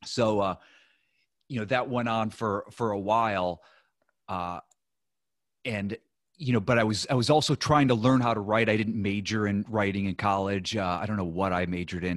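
Against a quiet background, a normal speaking voice moves at a fairly quick pace with fairly even intonation. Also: man. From US Midwest, Ohio. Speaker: real estate investor and former TV writer. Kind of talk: interview.

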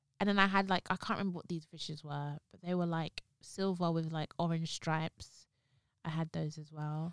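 A woman with a London accent at a moderate pace, her intonation monotone and flat, with big swings in loudness and a dry, close sound with no echo, on a very clean recording with a silent background. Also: fairly low pitch for a woman. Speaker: podcast co-host. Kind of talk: casual chat.

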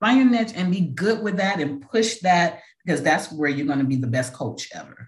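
A woman with a fairly low, somewhat breathy voice sounds animated, her pitch swinging very widely. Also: moderate pace. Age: 50s. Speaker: podcast host and life coach, pastor. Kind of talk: casual interview as guest in hot seat; podcast monologue.

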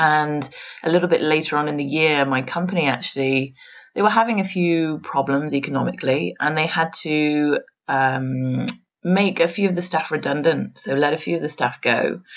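A moderate pace in an English accent against a quiet background. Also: woman, very deep, low pitch for a woman, ordinary pitch variation. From England, Worcestershire. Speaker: pastry chef. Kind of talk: interview.

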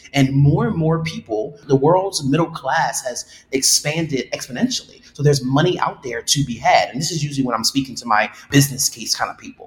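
Here a man talks at a fairly quick pace with hardly any pauses and big swings in loudness. His pitch is fairly high, somewhat breathy, with ordinary pitch variation. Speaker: diversity and inclusion director. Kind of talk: interview answers.

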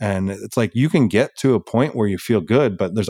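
This man has an unremarkable speaking voice, fairly low in pitch with ordinary variation, moving at a moderate pace in a dry, close sound with no echo and a very clean recording over a silent background. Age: 40s. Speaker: firefighter and endurance athlete. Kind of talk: interview.

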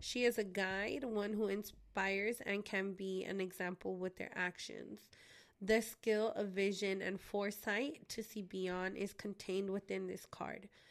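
Here a woman speaks at a fairly slow pace. Her intonation is monotone and flat. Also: medium pitch for a woman. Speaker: podcast host. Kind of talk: casual chat.

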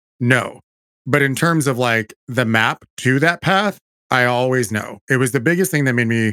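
A man at medium pitch with an animated, bright, sharp tone, in a dry, close sound with no echo and a very clean recording with a silent background. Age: 40s. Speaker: podcast host, theater producer and director. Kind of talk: casual chat.

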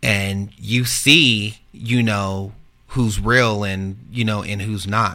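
Very slow in pace, a man with an American accent speaks at a fairly low pitch in a bright, sharp tone with fairly even intonation. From Texas, San Antonio. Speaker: mass shooting survivor. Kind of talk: testimony. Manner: halting.

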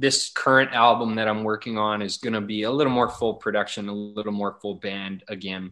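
With a Canadian Prairie accent, a man talks at a medium pitch in a bright, sharp tone and fairly even intonation. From Alberta prairies, Canada. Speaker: country singer. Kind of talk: interview.

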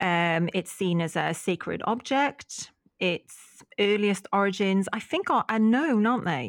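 Recorded very cleanly against a silent background, a woman with a Welsh accent and a medium-pitched voice speaks fairly slowly, her loudness very even and her intonation lively, in a dry, close sound with no echo. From Wales. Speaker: podcast co-host. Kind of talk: casual chat.

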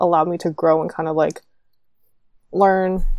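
With a Canadian accent, a woman speaks at a moderate pace in a fairly low, dark, mellow voice with fairly even intonation. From Canada. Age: 20s. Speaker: former co-host, podcaster. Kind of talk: casual chat.

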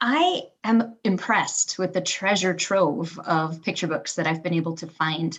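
With an American accent, a woman with an ordinary speaking voice talks at a fairly slow pace and a fairly low pitch, using ordinary pitch variation and hardly any pauses. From Michigan, Kalamazoo. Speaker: elementary school teacher. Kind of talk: casual interview chat.

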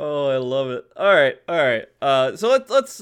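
A man speaks in a fairly high voice that swings very widely in pitch. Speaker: podcast host. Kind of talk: casual chat. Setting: video call.

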